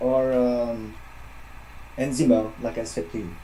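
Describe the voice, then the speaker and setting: A man is speaking. He has a French accent. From France. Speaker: metal musician. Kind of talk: interview. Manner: halting, many fillers. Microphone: echo.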